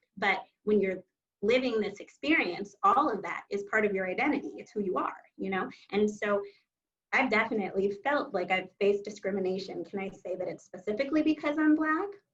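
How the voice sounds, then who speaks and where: A woman speaks at a fairly quick pace in a normal speaking voice, her medium pitch carried by lively intonation. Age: young. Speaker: genetic counselor. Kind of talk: panel discussion.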